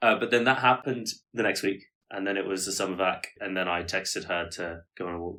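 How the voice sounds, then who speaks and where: A man with a fairly low pitch and a bright, sharp tone talks at a very fast pace, his pitch varying in an ordinary way. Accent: British. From UK, Korean parents. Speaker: podcast co-host. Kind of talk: casual chat.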